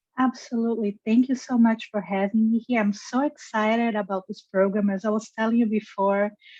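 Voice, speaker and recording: A woman's fairly high, somewhat breathy voice with a dark, mellow tone, fairly even intonation, a fairly quick pace, hardly any pauses and a Brazilian Portuguese accent. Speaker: geneticist and review analyst. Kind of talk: career interview.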